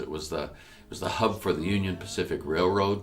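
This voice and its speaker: With music in the background, a man talks at a moderate pace, his pitch showing ordinary variation. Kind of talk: storytelling address.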